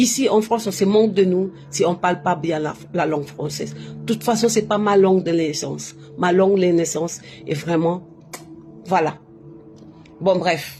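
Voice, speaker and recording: Over music in the background, a woman speaks fairly slowly in a fairly low voice, with ordinary pitch variation and long, frequent pauses. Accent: non-native. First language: not French (speaking French). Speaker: spiritual livestreamer. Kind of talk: casual live stream monologue. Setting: live on social media. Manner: halting, self-correcting.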